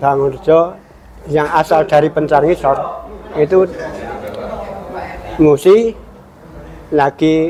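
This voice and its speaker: Very slow speech from a fairly high-pitched man with a Central Javanese accent, over noticeable background noise. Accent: Central Javanese Indonesian. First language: Javanese (speaking Indonesian). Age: 60s. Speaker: folk dance maestro. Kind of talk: interview testimony. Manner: halting, with repetitions.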